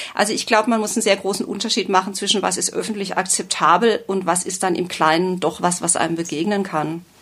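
At a very fast pace with hardly any pauses, a woman speaks at a medium pitch and fairly even intonation. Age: 50s. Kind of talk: interview.

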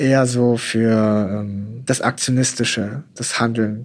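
Monotone, flat intonation marks a man of medium pitch who talks at a very slow pace. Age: 20s. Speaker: news editor and fact-checker. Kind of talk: interview.

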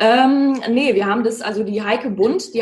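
Using an ordinary speaking voice, a woman talks with a fairly high pitch and ordinary pitch variation. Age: 20s. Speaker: singer and social worker. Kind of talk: casual interview.

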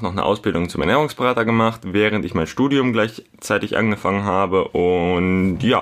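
He talks at a moderate pace with a fairly low pitch. This man has a plain, everyday voice. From Hamburg, northern Germany. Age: 20s. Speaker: podcast host, fitness blogger. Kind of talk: casual solo podcast monologue.

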